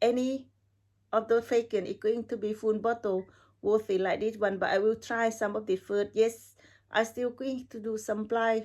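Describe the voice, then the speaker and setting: In a very clean recording with a silent background, a woman with a non-native accent talks at a moderate pace and a fairly high pitch. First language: not English. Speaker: perfume reviewer. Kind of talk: casual video review. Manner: halting.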